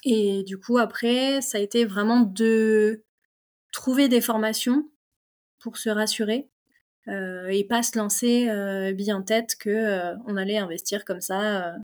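At a very slow pace, a woman speaks with fairly high pitch and fairly even intonation. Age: 30s. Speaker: mechanical engineer and property investor. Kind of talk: casual interview chat. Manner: hesitant, many fillers.

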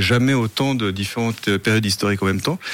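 Very fast in pace, a man speaks at a medium pitch. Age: 50s. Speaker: festival founder, fencing master and stuntman. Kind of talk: radio interview. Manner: hesitant, many fillers and repetitions.

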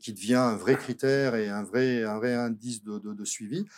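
Moderate pace and medium pitch from a male speaker, very clean recording, silent background. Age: 50s. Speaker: company director. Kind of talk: casual chat. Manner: halting.

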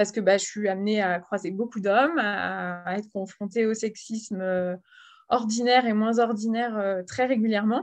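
Over a quiet background, a woman with an unremarkable speaking voice and fairly high pitch speaks at a moderate pace with fairly even intonation. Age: 30s. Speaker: volunteer at a women's health association. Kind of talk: interview.

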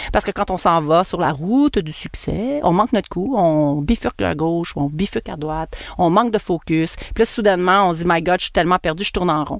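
A woman with a Quebec accent, fairly low in pitch, with lively intonation and a fairly quick pace. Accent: Québécois French. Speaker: podcast host and marketing entrepreneur. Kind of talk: casual monologue podcast. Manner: animated.

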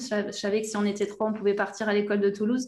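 A woman's fairly high voice at a very fast pace. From southwest France (Aquitaine, between Bordeaux and the Basque Country). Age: 30s. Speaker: language coach for football players. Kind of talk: interview.

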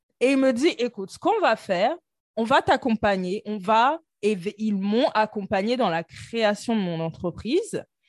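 A woman with an ordinary speaking voice talks at a fairly slow pace, fairly high in pitch, with lively intonation. The sound is dry and close with no echo over a quiet background. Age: 30s. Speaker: internal auditor and entrepreneur. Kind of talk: casual interview.

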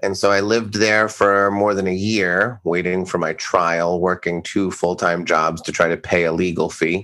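A man with an American accent speaks at a moderate pace, with hardly any pauses and monotone, flat intonation. His very deep, low pitch has a bright, sharp tone on a very clean recording with a silent background. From eastern Massachusetts. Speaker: author and storytelling coach. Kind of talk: casual chat.

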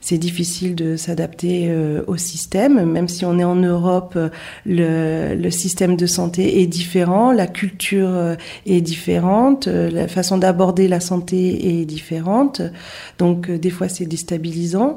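Speaking at a very slow pace, a woman has a dark, mellow tone, a fairly low pitch and fairly even intonation. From France. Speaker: nurse. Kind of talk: interview.

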